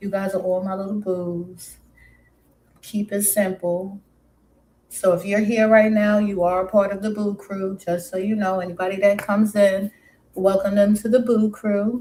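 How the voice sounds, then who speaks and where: Monotone, flat intonation carries a dark, mellow tone that is somewhat breathy. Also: woman, medium pitch for a woman, moderate pace. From New York City, Brooklyn, West Indian family. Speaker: live streamer. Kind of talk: casual live stream chat. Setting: live stream.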